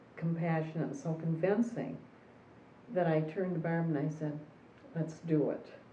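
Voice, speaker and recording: A woman's fairly low voice with audible room echo. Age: 70s. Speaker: retired therapist. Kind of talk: personal testimony.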